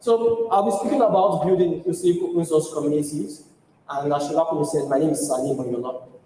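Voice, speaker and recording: A man talks at a very fast pace with a fairly high pitch and lively intonation. Audible room echo and noticeable background noise fill the recording. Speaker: tech community speaker. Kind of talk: conference talk.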